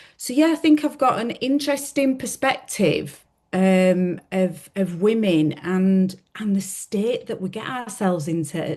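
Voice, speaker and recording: A woman in a Yorkshire accent talks at a fairly slow pace with hardly any pauses. Her dark, mellow tone carries very wide pitch swings. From Yorkshire, Leeds. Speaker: podcast co-host. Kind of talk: casual chat. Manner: hesitant, with fillers.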